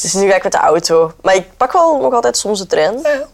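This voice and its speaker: Over noticeable background noise, a woman talks at a moderate pace in a medium pitch, her intonation lively. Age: 20s. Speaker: actress and radio presenter. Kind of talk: casual chat. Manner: halting.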